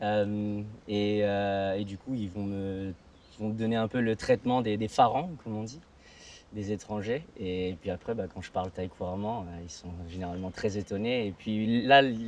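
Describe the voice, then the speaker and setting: A man's fairly low voice at a fairly slow pace, with fairly even intonation and big swings in loudness. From Thailand (Hua Hin), half Thai half Belgian. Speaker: interviewee, half-Thai resident of Thailand. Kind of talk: interview. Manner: halting, many hesitations.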